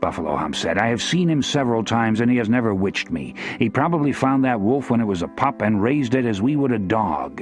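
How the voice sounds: Natural reading voice, nothing more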